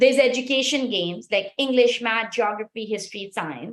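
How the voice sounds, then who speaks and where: This woman speaks in an animated tone at a fairly quick pace. Her pitch variation is ordinary. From Pakistan. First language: Pashto. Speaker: startup founder. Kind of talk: sales pitch.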